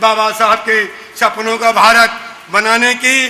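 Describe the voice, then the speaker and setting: Amid noticeable background noise, a man with an extremely high pitch speaks in a raised, projected voice. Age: 60s. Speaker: activist. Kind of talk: public speech. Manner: impassioned, repetitive oratory.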